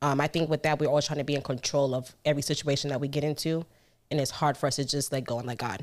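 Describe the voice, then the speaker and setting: A woman with an American accent talks at a very fast pace in a very deep, low pitch. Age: 30s. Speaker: podcast host. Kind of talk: casual chat. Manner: casual, laughs often.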